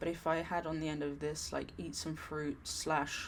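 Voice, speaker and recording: A woman speaks fairly slowly with vocal fry, her pitch very deep and low. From England. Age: 30s. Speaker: productivity vlogger. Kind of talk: tutorial. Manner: halting.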